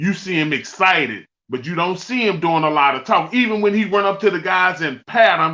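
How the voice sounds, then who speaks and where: A man's raised, projected voice, bright and sharp in tone, with lively intonation at a moderate pace. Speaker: former pro football player, podcast guest. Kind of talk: casual chat. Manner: passionate.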